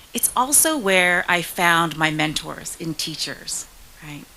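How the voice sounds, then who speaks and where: A woman's fairly low-pitched voice amid noticeable background noise. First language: Spanish. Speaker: state senator. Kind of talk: speech.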